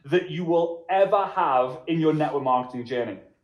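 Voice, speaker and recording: A man speaks with a Liverpool accent. His tone is animated and his intonation lively. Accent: Liverpool (Scouse) English. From Liverpool, England. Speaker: network marketing trainer. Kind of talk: motivational workshop presentation.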